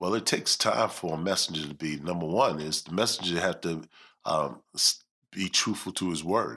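The pitch varies in an ordinary way at a moderate pace, with a bright, sharp tone. The recording is very clean with a silent background. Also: man, very deep, low pitch for a man. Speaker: nonprofit executive director and community leader.

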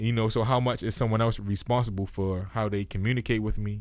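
A man at a very fast pace, fairly low in pitch with fairly even intonation, on a very clean recording with a silent background. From Baltimore. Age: 30s. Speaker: podcast co-host. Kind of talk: casual chat.

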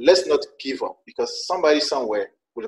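This man speaks at a moderate pace with a Togolese accent. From Togo, northern (Sokode). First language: Tem. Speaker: journalist and entrepreneur. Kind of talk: interview. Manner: halting, with frequent fillers.

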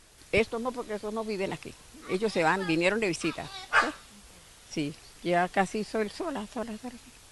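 A woman's voice, medium in pitch with ordinary pitch variation, carries over noticeable background noise. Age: 80s. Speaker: flood-affected resident. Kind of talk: street interview.

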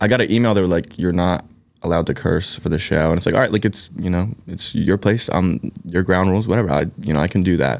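A man with an American accent speaks in a very deep, low voice with ordinary pitch variation. His pace is fairly quick, on a very clean recording with a silent background. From Philadelphia. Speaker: musician. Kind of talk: casual interview chat. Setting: studio. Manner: casual, filler-heavy, uses 'like' a lot.

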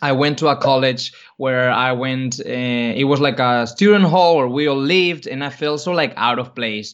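With a Spanish accent, a man speaks at a moderate pace in a medium pitch, with ordinary pitch variation and hardly any pauses. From Spain. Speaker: podcast co-host. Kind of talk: casual interview chat.

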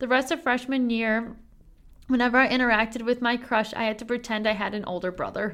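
A woman with a fairly high pitch and an unremarkable speaking voice speaks with fairly even intonation. The recording is very clean, with a silent background. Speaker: podcast host. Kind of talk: casual chat.

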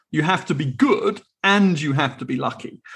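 Against a quiet background, a man speaks in an English accent at a high pitch with very wide pitch swings. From England. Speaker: podcast host. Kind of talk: casual chat.

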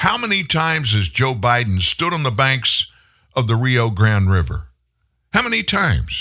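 A man with a Southern US accent at a medium pitch, very wide pitch swings, a bright, sharp tone and a moderate pace, in a very clean recording with a silent background. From US South. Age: 70s. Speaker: talk show host. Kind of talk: political talk monologue. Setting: studio. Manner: animated.

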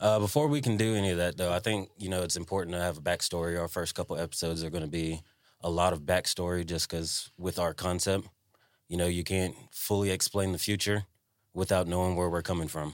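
A man with a very deep, low pitch and a Southern US accent talks very fast with fairly even intonation, on a very clean recording with a silent background. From Tennessee (Franklin). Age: 20s. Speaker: podcast co-host. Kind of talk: casual chat.

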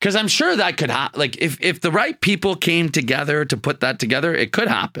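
An animated man with a high pitch and a bright, sharp tone, hardly any pauses, very even loudness and a dry, close sound with no echo. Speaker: podcast host. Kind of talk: casual chat.

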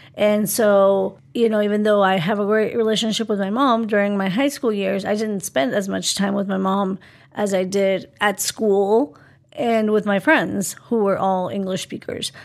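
A woman with a Spanish accent talks at a medium pitch with fairly even intonation. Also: moderate pace. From Colombia. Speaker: bilingual parenting author and podcast co-host. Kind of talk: casual chat.

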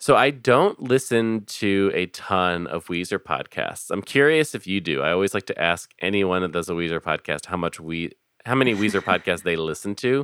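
With an American accent and a plain, everyday voice, the speaker talks at a moderate pace with lively intonation and hardly any pauses, the sound dry and close with no echo on a very clean recording with a silent background. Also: man, fairly low pitch for a man. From Philadelphia. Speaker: podcast host and improv comedian. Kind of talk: casual chat.

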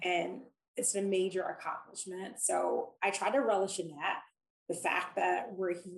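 A woman with an American accent speaks in a plain, everyday voice at a medium pitch and a moderate pace. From Philadelphia, US. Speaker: mother of a pro basketball player. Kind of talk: podcast interview.

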